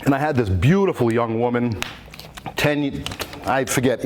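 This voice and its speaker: A man with a Rhode Island accent, medium pitch and fairly quick pace, over noticeable background noise. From Rhode Island, Warwick. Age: 60s. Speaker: quahogger (shellfish digger). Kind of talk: public talk. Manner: halting.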